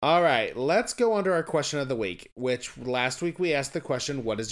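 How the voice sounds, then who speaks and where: Lively intonation and a fairly quick pace mark an ordinary speaking voice. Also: man. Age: 30s. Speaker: podcast co-host, former math teacher. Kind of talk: casual chat.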